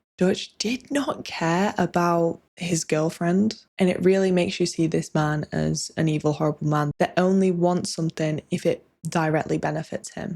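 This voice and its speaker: Soft-spoken and fairly low-pitched, a woman talks at a fairly slow pace with ordinary pitch variation. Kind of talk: casual talk to camera, video essay game review.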